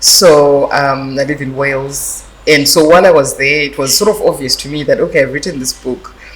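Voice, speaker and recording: Speech moves at a fairly quick pace with hardly any pauses, amid noticeable background noise. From Zimbabwe, Masvingo. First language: Shona (Karanga dialect). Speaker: author, publisher and lawyer. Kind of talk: interview. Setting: arts festival event. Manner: hesitant, many fillers.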